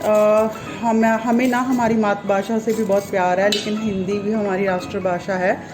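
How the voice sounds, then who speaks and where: With music in the background and audible room echo, a woman with a fairly high pitch speaks with hardly any pauses, fairly even intonation and very even loudness. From Punjab, India. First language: Punjabi (speaking Hindi). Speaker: vlogger. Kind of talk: casual chat. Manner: halting.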